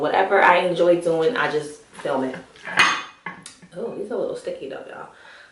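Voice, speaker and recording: A woman talks in a room with audible echo. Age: 30s. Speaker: vlogger. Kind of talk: casual vlog chat while eating. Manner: fast.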